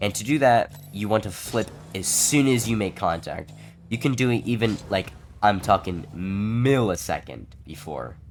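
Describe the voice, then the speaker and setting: Music plays in the background. A man speaks over it at a fairly low pitch. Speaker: gaming tutorial creator. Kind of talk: gaming tutorial voiceover.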